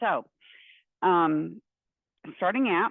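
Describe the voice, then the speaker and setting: A woman speaks with a Texan accent. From Central Texas. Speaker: university professor. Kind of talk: lecture. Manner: casual with many fillers.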